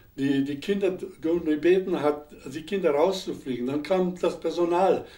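Fairly slow speech from a man with a high voice and ordinary pitch variation. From Upper Silesia. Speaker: war veteran, historical eyewitness. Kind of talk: interview answer. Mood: calm, reflective recollection. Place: studio.

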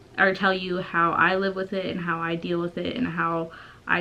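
At a moderate pace, a woman speaks with a fairly low pitch and monotone, flat intonation. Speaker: vlogger. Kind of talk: casual vlog chat. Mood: hesitant, reflective. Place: home room. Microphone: camera far.

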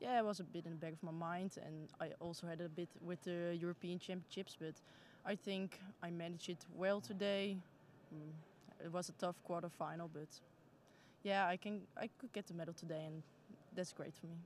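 Moderate pace and fairly even intonation with a Dutch accent, a dry sound with no echo and light background noise. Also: woman, fairly low pitch for a woman. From Netherlands. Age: 20s. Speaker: junior judo athlete. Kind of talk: post-competition interview. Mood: calm, mildly pleased. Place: hall. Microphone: handheld.

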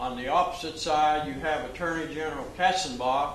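At a very slow pace, a man speaks in a fairly high pitch with fairly even intonation, light background noise and audible room echo. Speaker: retired FBI special agent. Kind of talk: training speech to law enforcement audience. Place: hall. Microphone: podium.

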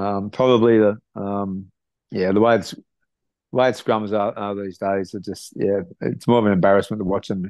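A man with an Australian accent, monotone and flat in intonation, big swings in loudness, in a dry sound with no echo. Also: fairly low pitch for a man, moderate pace, quiet background. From Australia, Sydney (south-west). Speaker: retired rugby league player; guest. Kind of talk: interview. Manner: halting, many fillers. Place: home room. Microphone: video call.

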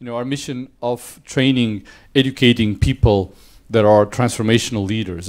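A man with a Portuguese accent speaks with ordinary pitch variation against a quiet background. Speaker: business school dean. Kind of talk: welcome speech. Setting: stage with audience. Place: hall.

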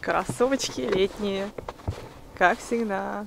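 A woman speaks with noticeable background noise behind her. The sound is dry with no echo. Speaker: vlogger. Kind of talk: casual vlog chat. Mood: dreamy, cozy, admiring. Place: street. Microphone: phone near.

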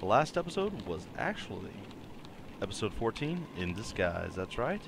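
A man's playful tone with very wide pitch swings, a moderate pace, and noticeable background noise. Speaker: let's play gamer. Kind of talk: casual talk to camera. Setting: low mic volume. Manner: playful, jokey.

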